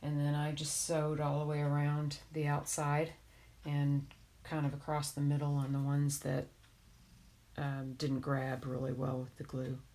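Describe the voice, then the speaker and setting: A woman speaks in a very deep, low pitch with a dark, mellow tone and a monotone, flat intonation. The recording is very clean, with a silent background. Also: moderate pace. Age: 50s. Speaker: crafter streaming a craft tutorial. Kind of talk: casual chat while crafting on a live stream.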